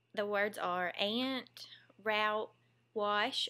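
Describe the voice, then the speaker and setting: A Southern US accent with ordinary pitch variation. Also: woman. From US South. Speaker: vlogger, former teacher. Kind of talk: casual vlog, reading word list aloud. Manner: casual, chatty.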